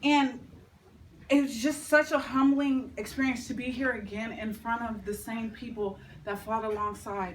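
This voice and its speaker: A woman speaks loudly with ordinary pitch variation, and audible room echo surrounds her. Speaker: tribute speaker. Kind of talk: tribute speech; reading aloud.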